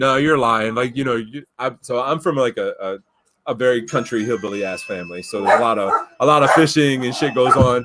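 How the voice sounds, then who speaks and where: A man speaks in an ordinary speaking voice at medium pitch. His pace is fairly quick. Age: 40s. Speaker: podcast host. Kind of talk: casual chat. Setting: live stream.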